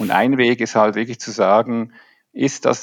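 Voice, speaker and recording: In a normal speaking voice, a man talks at a moderate pace and medium pitch, with a quiet background and a dry, close sound with no echo. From Switzerland. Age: 50s. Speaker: leadership coach. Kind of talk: podcast interview.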